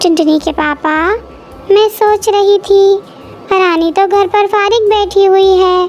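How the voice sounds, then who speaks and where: A woman puts on a cartoonish character voice at an extremely high pitch. She goes at a fairly slow pace, with clear background noise. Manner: warm, measured.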